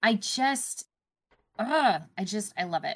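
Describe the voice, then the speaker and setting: A woman with a Canadian accent speaks in a medium pitch with lively intonation, in a plain, everyday voice. The recording is very clean, with a silent background. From Canada. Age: 30s. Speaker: gaming news podcaster. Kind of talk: casual chat.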